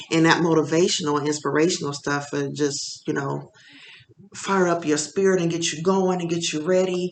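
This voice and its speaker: Speech proceeds at a moderate pace, with noticeable noise in the background. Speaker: vlogger starting a small business. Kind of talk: casual personal vlog monologue. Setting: home office. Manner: halting, many fillers. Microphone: laptop mic.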